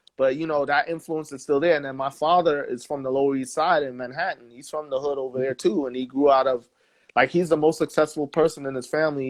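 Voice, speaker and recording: This man has a New York accent and a fairly high pitch. He talks at a fairly quick pace with fairly even intonation. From New York, Staten Island. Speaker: musician. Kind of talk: interview. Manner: casual.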